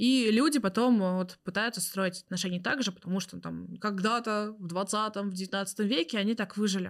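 A woman with an unremarkable speaking voice talks at a moderate pace in a medium pitch, with fairly even intonation and hardly any pauses. The recording is very clean, with a silent background. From Tatarstan, Russia. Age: 20s. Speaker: tarot reader. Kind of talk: casual chat.

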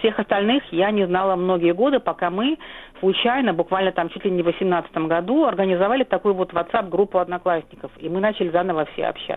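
A woman with a medium pitch talks at a fairly quick pace, her pitch varying in an ordinary way. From Soviet Kyrgyzstan, Volga German family. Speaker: historian. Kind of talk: interview. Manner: halting, many fillers.

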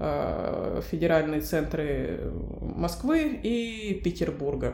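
Noticeable background noise fills the clip of a woman speaking. The room adds audible echo. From Russia, Novosibirsk. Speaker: pediatric oncologist. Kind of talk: interview.

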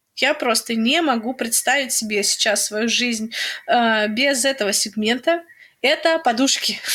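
A woman with a high, bright, sharp voice speaks at a fairly slow pace, her loudness very even and her pitch varying in an ordinary way. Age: 20s. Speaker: podcast co-host, pregnant woman. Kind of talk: casual chat. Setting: remote call between cities.

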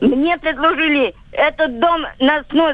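Her pitch is high. The woman keeps her intonation fairly even. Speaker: caller. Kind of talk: phone-in question. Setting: phone call.

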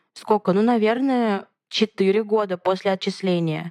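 Her voice is a plain, everyday voice, fairly high for a woman, with fairly even intonation. The sound is dry and close with no echo. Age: 20s. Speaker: podcast host. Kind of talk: casual chat.

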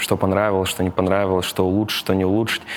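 A man speaks at a fairly low pitch. Noticeable background noise runs underneath. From Tatarstan, Russia. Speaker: operations executive. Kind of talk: casual interview.

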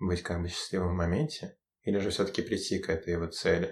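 A man's very deep, low voice with fairly even intonation, on a very clean recording against a silent background. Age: 20s. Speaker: university student. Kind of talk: casual chat. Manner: halting.

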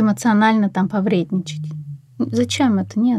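A woman with a fairly high, somewhat breathy voice speaks on a very clean recording with a silent background. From Russia, Ufa. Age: 30s. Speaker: energy practitioner, divorced mother. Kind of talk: casual interview.

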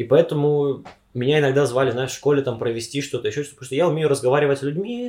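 A man talks at a very fast pace in a medium pitch, somewhat breathy. His tone is dark and mellow, with ordinary pitch variation. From Siberia, Omsk. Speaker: university student. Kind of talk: casual chat.

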